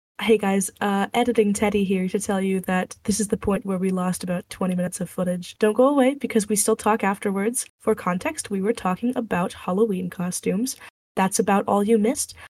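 A woman with an American accent talks at a fairly quick pace, with hardly any pauses. Her intonation is fairly even, and her voice is somewhat breathy. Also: medium pitch for a woman. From Texas. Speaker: podcast host. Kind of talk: casual chat; scripted narration. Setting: studio.

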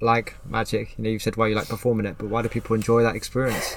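Talking at a very fast pace, a man keeps to a medium pitch. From Plymouth, England. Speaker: podcast host. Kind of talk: casual interview. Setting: in a magic shop beside a road.

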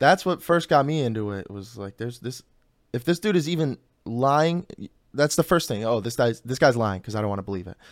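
Using a plain, everyday voice at a medium pitch with an American accent, a man talks at a fairly quick pace with lively intonation and big swings in loudness, in a very clean recording with a silent background. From Chicago south suburbs, US Midwest. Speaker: podcast host. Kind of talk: casual chat.

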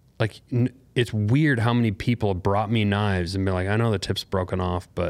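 This man speaks with an American accent at a very fast pace, his pitch fairly low and its variation ordinary. The recording is very clean, with a silent background. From Montana. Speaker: bladesmith, knife company founder. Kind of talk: casual interview.

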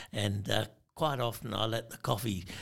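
Vocal fry colors a voice with an Australian accent at a moderate pace, in a very clean recording with a silent background. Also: man. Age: 70s. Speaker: veteran fly fisherman. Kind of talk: casual chat.

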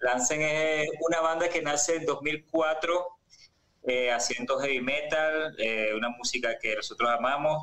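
A man with a fairly high pitch and a bright, sharp tone speaks at a fairly slow pace, with very even loudness and ordinary pitch variation. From Venezuela. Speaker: musician. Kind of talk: interview. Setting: video call.

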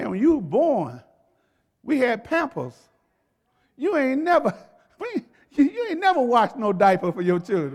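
Extremely high male voice with very wide pitch swings, a moderate pace and long, frequent pauses. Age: 60s. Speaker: pastor. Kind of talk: sermon. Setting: church.

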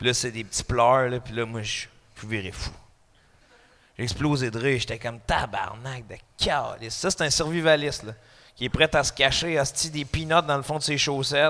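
A man's bright, sharp voice at a moderate pace, with ordinary pitch variation and long, frequent pauses. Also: medium pitch for a man. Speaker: comedian. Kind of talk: casual chat. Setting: studio with live audience.

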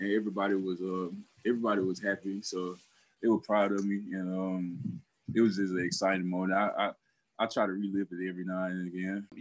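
A man's very deep voice with a Southern US accent, very fast and flat in a monotone. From Alabama. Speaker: professional football player. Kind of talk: interview. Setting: video call. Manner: halting.

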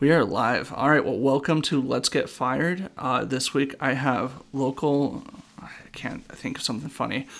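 With an American accent, a man talks at a moderate pace in a normal speaking voice, his pitch fairly high and his intonation fairly even. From Washington state. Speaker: podcast host and comedian. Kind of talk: casual chat.

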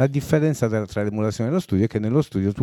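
Speaking very fast with a Sardinian accent, a man has a fairly low voice and a dark, mellow tone, captured dry and close with no echo in a very clean recording with a silent background. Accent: Sardinian-accented Italian. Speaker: songwriter and singer. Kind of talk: casual interview chat. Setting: studio.

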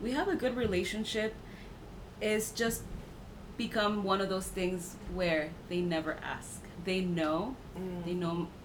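In an American accent, a woman speaks at a fairly slow pace with long, frequent pauses, a medium pitch and ordinary pitch variation, amid audible room echo and noticeable background noise. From Mexico, then US. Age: 30s. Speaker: podcast guest. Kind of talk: casual chat.

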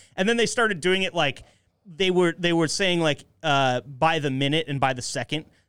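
A man's plain, everyday voice, fairly high in pitch, with ordinary pitch variation and a moderate pace. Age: 30s. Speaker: podcast host. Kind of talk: casual chat.

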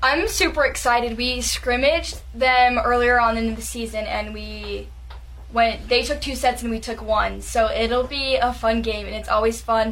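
There is audible room echo as a woman with an American accent speaks at a moderate pace. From Utah. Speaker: college volleyball player. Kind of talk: radio interview. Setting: studio. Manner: energetic.

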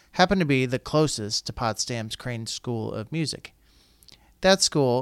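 Speaking in an unremarkable speaking voice with an American accent, the voice moves at a moderate pace with ordinary pitch variation, recorded very cleanly against a silent background in a dry, close sound with no echo. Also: man. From Colorado. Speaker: school district communications podcast host. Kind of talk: scripted narration; podcast interview.

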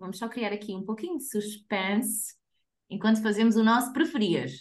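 With a European Portuguese accent, a woman speaks at a fairly high pitch in a somewhat breathy voice, her pitch varying in an ordinary way. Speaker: podcast co-host. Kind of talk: casual chat.

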